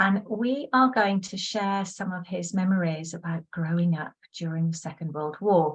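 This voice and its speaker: With hardly any pauses, a woman talks at a moderate pace in a medium pitch, somewhat breathy, with ordinary pitch variation. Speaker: former primary school teacher. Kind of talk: interviewer.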